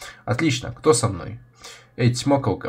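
The pitch moves in an ordinary way throughout this plain reading aloud.

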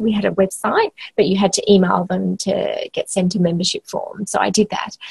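An Australian accent marks this woman's somewhat breathy voice at a moderate pace. The sound is dry with no echo and the background quiet. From Western Australia, small country town. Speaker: health organisation CEO. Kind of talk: interview. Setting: remote call from office. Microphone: video call.

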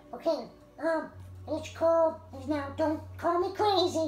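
Over clear music in the background, a female-sounding put-on character voice speaks at a fairly slow pace with an extremely high pitch. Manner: conspiratorial, rambling, comic.

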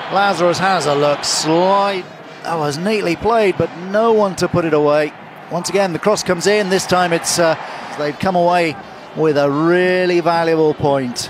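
A man speaks in an excited tone at a high pitch. His pace is moderate, with noticeable background noise. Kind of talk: live sports commentary. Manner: short excited exclamations as chances arise.

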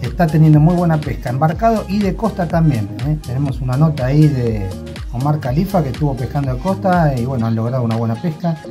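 Music comes through clearly in the background. Over it, a man talks very quickly. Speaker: fishing show host. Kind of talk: casual vlog chat. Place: home room. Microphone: phone near.

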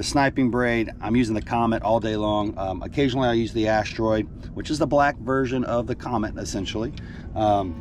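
The delivery has fairly even intonation, and the sound is dry with no echo. Music plays in the background. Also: man, fairly quick pace. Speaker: fishing guide. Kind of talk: casual vlog chat. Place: boat. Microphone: phone near.

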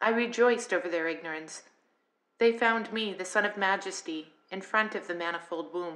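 A woman talks in a plain, everyday voice. Her pace is moderate and her pitch variation ordinary. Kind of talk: audiobook reading of scripture.

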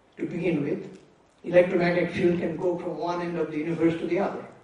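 A man with a high pitch at a fairly quick pace, with audible room echo. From India, Bengal village. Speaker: physicist. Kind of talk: public lecture. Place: hall. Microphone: podium.

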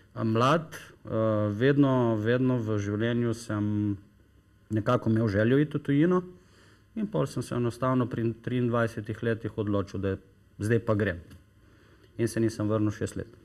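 Against a quiet background, a man uses a normal speaking voice at a medium pitch with ordinary pitch variation. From Slovenia, Styria and coast (Maribor, Piran); Slovenia. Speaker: company founder promoting health products; guest. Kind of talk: TV talk show interview. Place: studio. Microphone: lapel.

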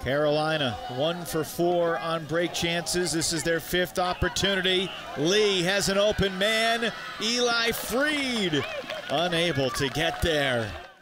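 Very slow and very even in loudness, a man's high-pitched voice carries lively intonation over noticeable background noise. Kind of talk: live sports play-by-play commentary.

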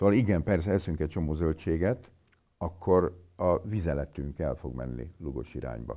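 A man with a very deep, low pitch and a dark, mellow tone uses lively intonation and vocal fry against a quiet background. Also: moderate pace. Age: 50s. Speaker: physician; interviewee. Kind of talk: interview. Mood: blunt, mocking about myths. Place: meeting room.

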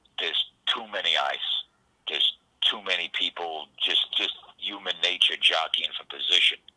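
With a New York accent, a man talks at a moderate pace against a quiet background. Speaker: tugboat worker. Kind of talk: casual phone interview. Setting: phone call. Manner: filler-heavy, repeats words. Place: home room. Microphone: studio mic.

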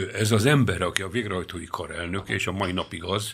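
Over a quiet background, a man with a very deep, low voice and vocal fry talks at a fairly quick pace with lively intonation. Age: 70s. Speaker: lawyer. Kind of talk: radio interview discussion. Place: studio. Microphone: studio mic.

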